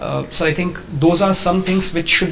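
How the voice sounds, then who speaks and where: Fairly even intonation from a man, along with audible room echo and noticeable background noise. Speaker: civil service exam candidate. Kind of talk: mock interview. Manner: fast.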